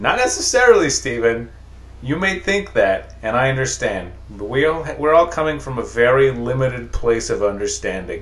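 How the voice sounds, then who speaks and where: Noticeable background noise behind a male speaker's moderately paced delivery. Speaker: podcast host. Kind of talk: casual comedy chat podcast. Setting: studio, standing at microphone.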